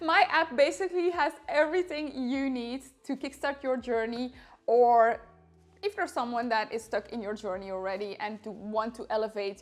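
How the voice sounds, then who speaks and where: A woman talks at a moderate pace with a Dutch accent. Music plays in the background. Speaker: fitness influencer. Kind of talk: sales pitch; casual vlog advice.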